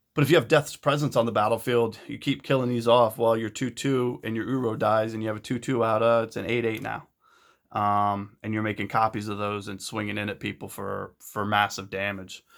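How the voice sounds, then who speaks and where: A man's medium-pitched voice at a fairly quick pace with fairly even intonation, in a very clean recording with a silent background. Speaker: deck builder and card game video host. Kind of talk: deck tech tutorial. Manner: fast; hesitant, many fillers.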